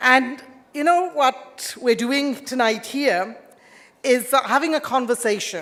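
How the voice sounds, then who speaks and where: With an Indian accent, a woman speaks at a fairly slow pace. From England, born in India. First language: Indian language. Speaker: politician. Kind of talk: formal speech.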